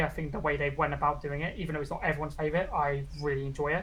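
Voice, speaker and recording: Somewhat breathy and flat in intonation, the voice races at a very fast pace amid audible room echo. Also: woman. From UK. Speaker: VTuber. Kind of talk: interview. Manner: casual.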